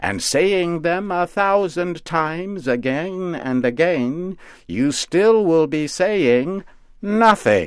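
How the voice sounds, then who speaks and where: A man performs a put-on character voice at a fairly high pitch. His pace is very slow. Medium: read story. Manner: doting yet sardonic.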